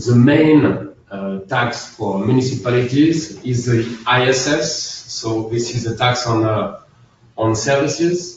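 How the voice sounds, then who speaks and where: A man's medium-pitched voice with a French accent, very slow pace and ordinary pitch variation, plus audible room echo and noticeable background noise. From France. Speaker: accountant. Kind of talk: webinar presentation. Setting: online webinar. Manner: halting, many fillers.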